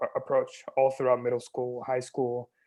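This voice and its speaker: A man with an American accent at a moderate pace. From US West Coast, Bay Area. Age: 20s. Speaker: stuttering advocate, nonprofit founder. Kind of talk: talk about personal experiences. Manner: halting with repetitions.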